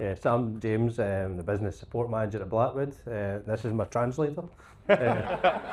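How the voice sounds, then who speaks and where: A man speaks in a Scottish accent at a medium pitch. His pace is moderate, with ordinary pitch variation. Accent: Scottish, noticeable. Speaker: plant hire business support manager. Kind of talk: panel discussion.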